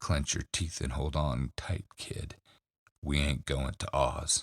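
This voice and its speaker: A man growls in a put-on character voice. His pitch is very deep and low, and his pace is fairly slow. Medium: read story. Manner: gruff, sarcastic, blunt.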